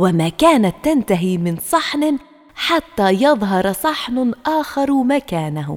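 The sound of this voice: The reading voice is unforced. Each line is read with no push behind it.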